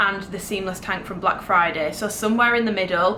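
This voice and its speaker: A woman at a medium pitch with a British accent and fairly even intonation, against noticeable background noise. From Britain. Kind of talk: casual talk to camera. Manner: chatty.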